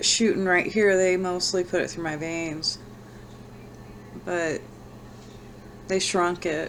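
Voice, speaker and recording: A woman's fairly low, monotone voice with flat intonation, at a very slow pace with long, frequent pauses. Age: old. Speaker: vlogger sharing brain tumor recovery. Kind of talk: personal vlog. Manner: halting.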